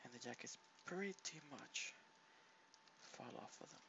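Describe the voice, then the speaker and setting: Soft-spoken and relaxed in tone, a man talks at a fairly slow pace. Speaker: home cook and ASMR creator. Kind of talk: casual talk to camera, cooking demonstration. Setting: home kitchen, laptop recording. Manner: soft-spoken, relaxed.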